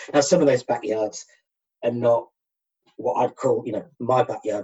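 A man talks at a fairly quick pace in a somewhat breathy voice. His pitch sits in the medium range with ordinary variation. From Manchester, England. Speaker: Facebook page founder, birder. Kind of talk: casual interview.

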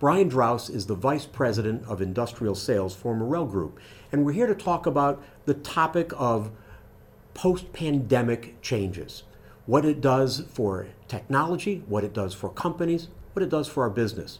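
With lively intonation, a man speaks at a moderate pace and a medium pitch.

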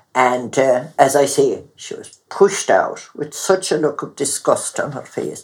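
A woman's voice with big swings in loudness and a fairly slow pace. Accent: Clare. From Mountshannon, east Clare, Ireland. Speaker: retired midwife. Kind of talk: elder telling a story.

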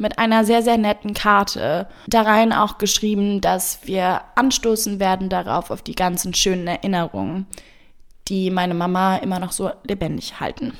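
This woman has a normal speaking voice, moving at a moderate pace with fairly even intonation. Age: 20s. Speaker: podcast guest. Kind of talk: storytelling.

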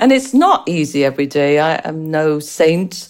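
A woman's fairly low voice at a fairly slow pace. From England, Irish parents. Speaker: pediatric nurse. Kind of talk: interview.

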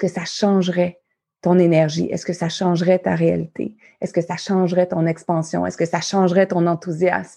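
A woman's fairly low voice with a Quebec accent, dark and mellow in tone, monotone and flat in intonation, at a moderate pace with big swings in loudness, in a quiet background. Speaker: life coach and podcast host. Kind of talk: motivational talk. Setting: live audience recording.

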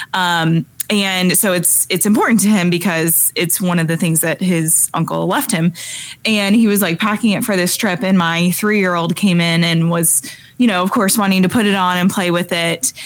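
A woman with a normal speaking voice at medium pitch, very even loudness, fairly even intonation and a moderate pace. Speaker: podcast co-host. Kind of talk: casual chat.

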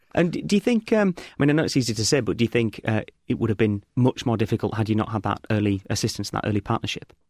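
Talking very fast with hardly any pauses, a man with an English accent keeps a medium pitch and ordinary pitch variation, recorded dry and close with no echo on a very clean, silent background. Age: 30s. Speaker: podcast host. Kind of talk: interview.

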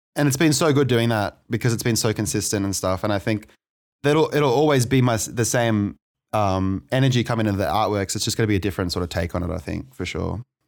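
Speaking in an Australian accent, a man talks at a very fast pace with lively intonation and a fairly low pitch. The recording is very clean, with a silent background. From Australia, New South Wales (Maitland). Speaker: electronic music producer and DJ. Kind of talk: interview, casual chat. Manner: halting, many fillers and repeats.

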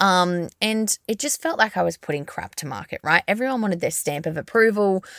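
In an Australian accent, a woman talks at a fairly quick pace in a medium pitch with lively intonation. The recording is very clean and silent in the background, with a dry, close sound and no echo. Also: hardly any pauses. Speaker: podcast host, brand agency founder. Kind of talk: solo podcast monologue. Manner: fast.

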